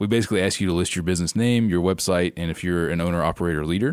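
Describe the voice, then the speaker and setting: A man speaks with a Southern US accent in a very deep, low voice. His pitch varies in an ordinary way, and the recording is very clean with a silent background. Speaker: travel points and miles expert. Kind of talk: casual interview chat.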